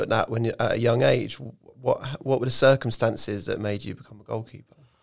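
A man with an English accent talks at a fairly quick pace in a very clean recording with a silent background. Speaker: football club podcast host. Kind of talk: casual chat.

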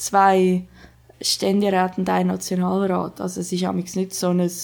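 Her pitch is medium for a woman. She talks at a moderate pace. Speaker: podcast co-host. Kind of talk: casual chat.

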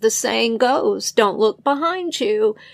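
The clip is plain reading aloud.

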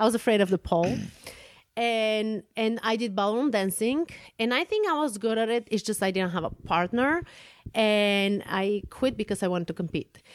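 With a Bulgarian accent, a woman talks at a moderate pace and a fairly high pitch, with ordinary pitch variation. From Bulgaria (Plovdiv). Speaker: podcast host, fencing coach. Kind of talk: casual chat.

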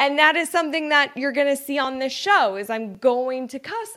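The voice is raised and projected, with a bright, sharp tone, an animated delivery and lively intonation. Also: woman. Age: 30s. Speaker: podcast host and entrepreneur. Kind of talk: casual solo monologue.

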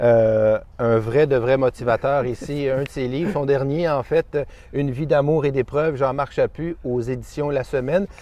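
A man talks at a fairly slow pace with a fairly high pitch. His intonation is fairly even. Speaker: interviewer. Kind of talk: interview. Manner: halting.

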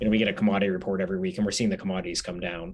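A man with an American accent speaks at a very deep, low pitch, with ordinary pitch variation and vocal fry. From Pittsburgh, Pennsylvania. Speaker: restaurant chain executive. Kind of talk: interview.

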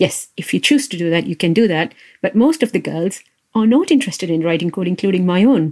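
Talking at a very fast pace, a woman uses a medium pitch and lively intonation. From India. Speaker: software engineering manager. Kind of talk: interview podcast. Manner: hesitant, many fillers.

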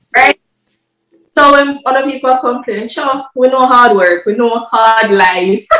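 A fairly slow pace in a Jamaican accent. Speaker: international student. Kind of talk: interview. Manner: animated.

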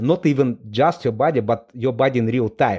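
With an Eastern European accent, the speaker moves at a fairly quick pace in a very clean recording with a silent background. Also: man. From Moldova. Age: 40s. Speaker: entrepreneur and investor. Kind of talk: interview. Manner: halting, many fillers.

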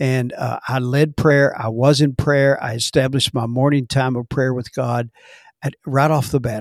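A man with an American accent talks at a moderate pace and medium pitch, in a monotone, flat intonation. The recording is very clean and dry, with a silent background and a close sound with no echo. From Texas, Dallas. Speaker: pastor. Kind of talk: interview testimony.

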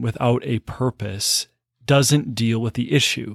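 A man with an ordinary speaking voice, medium pitch, ordinary pitch variation and a fairly slow pace, in a very clean recording with a silent background and a dry, close sound with no echo. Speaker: priest. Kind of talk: casual conversation.

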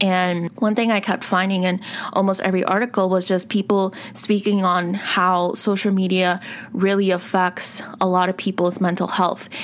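Monotone, flat intonation from a woman at a moderate pace, with noticeable background noise. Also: medium pitch for a woman. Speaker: podcast host. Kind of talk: solo podcast monologue. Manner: casual with many fillers.

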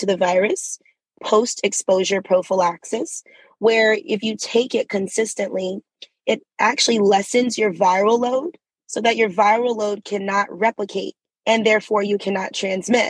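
In an American accent, a woman with an unremarkable speaking voice talks at a moderate pace and medium pitch, using ordinary pitch variation, in a dry, close sound with no echo. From US South, Atlanta. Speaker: state legislator. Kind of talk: interview.

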